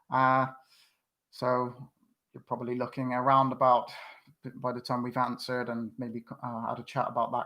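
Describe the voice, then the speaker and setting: A man with a West Country accent speaks at a moderate pace. His medium-pitched voice has a bright, sharp tone. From West Country, England (Bristol). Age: 40s. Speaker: YouTube fan channel host. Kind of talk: live stream quiz chat. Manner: hesitant, many fillers.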